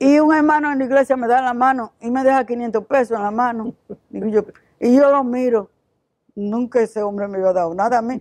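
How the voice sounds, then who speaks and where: At a fairly quick pace, a woman speaks at a fairly high pitch with ordinary pitch variation, the sound dry and close with no echo. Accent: Dominican. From Dominican Republic, Santiago. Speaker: missionary. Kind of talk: testimony. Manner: halting.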